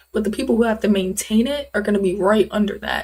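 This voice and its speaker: A fairly quick, somewhat breathy woman's voice, fairly high in pitch with ordinary pitch variation. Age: young. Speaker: streamer studying for IT certification. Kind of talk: casual livestream chat. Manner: fast.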